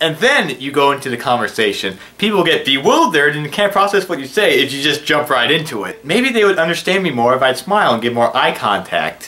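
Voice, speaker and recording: In an animated tone, a man talks at a fairly quick pace with fairly high pitch, very wide pitch swings and hardly any pauses, over noticeable background noise. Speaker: video blogger with hearing loss. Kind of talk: casual vlog monologue. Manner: tends to mumble when speaking fast; animated, sarcastic.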